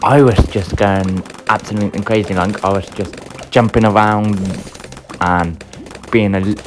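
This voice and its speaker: The speech has fairly even intonation and long, frequent pauses over noticeable background noise. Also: man, fairly low pitch for a man. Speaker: gaming youtuber. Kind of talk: gameplay commentary.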